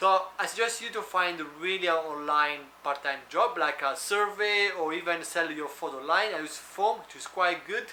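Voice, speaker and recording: A man with an Italian accent speaks at a high pitch with ordinary pitch variation, big swings in loudness and hardly any pauses. Noticeable background noise and audible room echo are present. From Italy. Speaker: food delivery driver and vlogger. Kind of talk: tutorial. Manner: fast.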